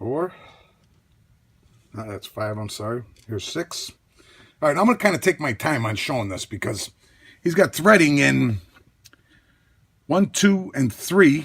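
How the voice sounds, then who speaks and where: A man speaks fairly slowly at a fairly high pitch, with vocal fry and long, frequent pauses. His pitch swings very widely and his loudness rises and falls sharply. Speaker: lockpicking hobbyist youtuber. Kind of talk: tutorial. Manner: casual, self-talking.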